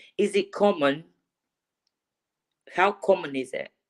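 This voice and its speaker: A woman with a non-native accent is heard in a dry, close sound with no echo. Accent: foreign. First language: not English. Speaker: livestream caller. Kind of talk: casual chat. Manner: halting.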